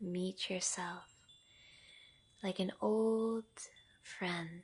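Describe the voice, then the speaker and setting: Speaking at a very slow pace, a woman with a medium-pitched, somewhat breathy voice keeps a gentle, calm tone and monotone, flat intonation. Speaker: yoga nidra guide. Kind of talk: guided meditation, yoga nidra. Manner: slow, gentle, calm.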